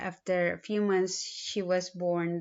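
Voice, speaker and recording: Speaking very slowly, a woman with a strong Filipino accent keeps her intonation monotone and flat. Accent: thick Filipino. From Philippines. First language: a Philippine language. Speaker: student. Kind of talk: self-introduction video. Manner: halting, with fillers.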